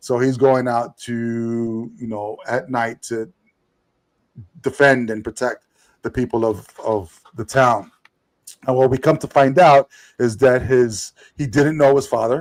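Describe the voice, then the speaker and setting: A man with a New York accent speaks at a fairly slow pace and medium pitch, leaving long, frequent pauses. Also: fairly even intonation. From New York, Puerto Rican family. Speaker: podcast co-host, comic reviewer. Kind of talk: casual chat, comic review. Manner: halting, many fillers and repeated words.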